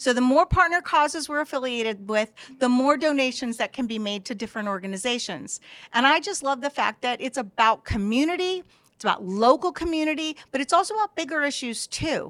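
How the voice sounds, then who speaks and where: Speaking with an American accent, a woman talks at a high pitch and a fairly quick pace with lively intonation. The recording is very clean and dry, close with no echo, and the background is silent. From Los Angeles. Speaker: media company representative. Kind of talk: casual chat.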